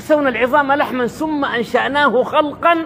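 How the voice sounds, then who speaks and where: Over noticeable background noise, a man speaks with a Sudanese accent. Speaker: religious preacher. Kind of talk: religious sermon.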